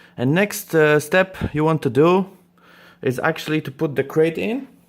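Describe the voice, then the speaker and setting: In a very clean recording with a silent background, a man with a non-native accent speaks at a moderate pace in a fairly high voice with ordinary pitch variation. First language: not English. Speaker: reptile breeder and YouTuber. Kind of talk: tutorial. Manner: halting, many fillers.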